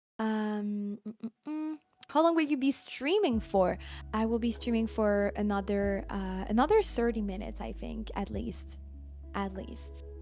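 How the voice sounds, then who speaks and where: A woman with a French accent at a fairly slow pace, music in the background. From France. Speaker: game streamer. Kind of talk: live stream chat, reviewing viewer game builds. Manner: casual, filler-heavy.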